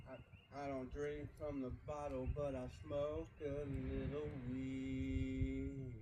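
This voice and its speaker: Audible room echo surrounds a man who talks very slowly. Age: 30s. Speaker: vlogger. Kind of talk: casual vlog talk to camera. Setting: outdoors by a backyard fire. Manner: soft-spoken.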